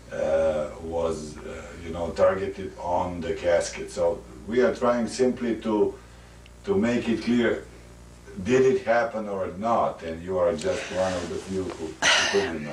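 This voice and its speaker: Speaking with a non-native accent at a fairly slow pace, a man is heard with audible room echo. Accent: foreign. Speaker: interviewer. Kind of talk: interview. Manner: halting.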